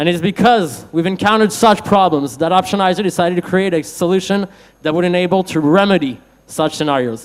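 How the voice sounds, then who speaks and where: A man's high voice at a fairly quick pace, with ordinary pitch variation. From France. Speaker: startup founder pitching. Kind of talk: startup pitch.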